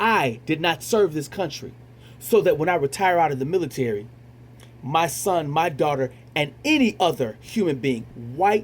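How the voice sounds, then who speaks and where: A man's somewhat breathy, fairly high voice, with lively intonation at a moderate pace. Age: 40s. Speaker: retired military veteran, show host. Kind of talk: monologue commentary. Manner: halting, many repetitions and fillers.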